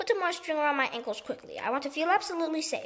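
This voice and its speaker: In a put-on character voice, a woman talks very fast at an extremely high pitch with very wide pitch swings. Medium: read story. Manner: shrill, shouting.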